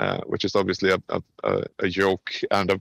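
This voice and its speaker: A man with a Swedish accent at a moderate pace. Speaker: game industry professional. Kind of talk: podcast interview. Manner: casual.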